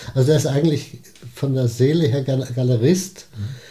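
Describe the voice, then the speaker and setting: Somewhat breathy and dark and mellow in tone, a man speaks at a moderate pace and medium pitch with fairly even intonation. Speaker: retired advertising executive and gallery founder. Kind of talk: interview.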